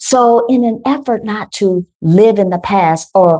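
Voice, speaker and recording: A woman speaks at a very slow pace in a dark, mellow tone that is somewhat breathy, with ordinary pitch variation. The sound is dry and close, with no echo. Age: 50s. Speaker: wellness coach. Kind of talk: guided meditation. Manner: soothing.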